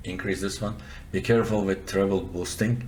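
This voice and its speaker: A man with a non-native accent speaks fairly quickly in a fairly low, somewhat breathy voice with ordinary pitch variation. Audible room echo surrounds the recording. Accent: noticeable foreign. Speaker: software developer and audio tutorial presenter. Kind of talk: tutorial. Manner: casual, conversational with fillers.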